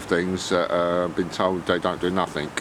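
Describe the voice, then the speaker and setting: The pace is moderate. Noticeable background noise runs through the clip. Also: man. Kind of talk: casual talk to camera. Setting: outdoors.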